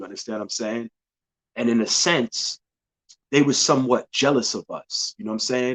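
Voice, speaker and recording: Here a man talks with a New York accent and ordinary pitch variation. His loudness swings widely, long, frequent pauses break it up, and the sound is dry and close with no echo. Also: medium pitch for a man, moderate pace. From New York City, Bronx. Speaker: podcast host. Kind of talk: casual monologue.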